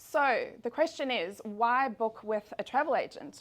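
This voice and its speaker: A woman speaks in a South African accent. Her pitch varies in an ordinary way. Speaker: travel agent. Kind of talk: business presentation. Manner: fast.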